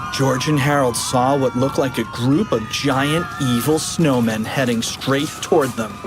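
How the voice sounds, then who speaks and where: The speech moves at a fairly slow pace over music in the background. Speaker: audiobook narrator. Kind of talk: children's audiobook reading.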